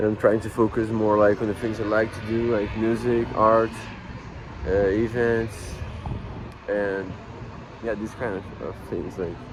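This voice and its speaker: With a Portuguese accent, a man speaks in a fairly low, monotone, flat voice at a fairly slow pace, with long, frequent pauses and noticeable background noise. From Brazil, Rio de Janeiro. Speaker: musician and vlogger. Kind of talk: casual vlog monologue. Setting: laundromat. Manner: halting, many fillers.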